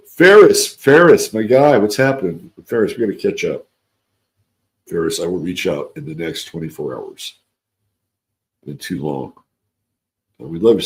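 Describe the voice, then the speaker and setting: Using a raspy, put-on character voice, a man speaks at a moderate pace. He leaves long, frequent pauses. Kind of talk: casual, friendly, chatty.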